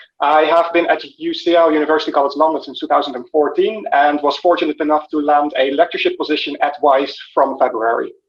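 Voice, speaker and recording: A man with a Dutch accent speaks at a very fast pace with hardly any pauses. His fairly high voice keeps a fairly even intonation. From Netherlands. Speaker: physicist, university lecturer. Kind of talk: self-introduction. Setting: video call.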